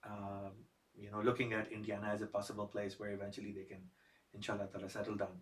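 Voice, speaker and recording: A somewhat breathy man with a Pakistani accent speaks at a fairly low pitch in a monotone, flat intonation. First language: Urdu. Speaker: podcast host. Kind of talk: podcast interview.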